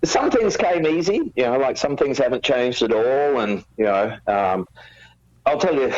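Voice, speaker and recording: With an Australian accent, the speaker delivers the words at a moderate pace. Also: man. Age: 50s. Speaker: rock musician. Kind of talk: interview. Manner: halting.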